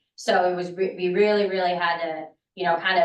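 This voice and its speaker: A woman with a fairly low pitch talks at a very fast pace, with audible room echo. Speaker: transit agency marketing staff. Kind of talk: board meeting presentation. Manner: soft-spoken; animated.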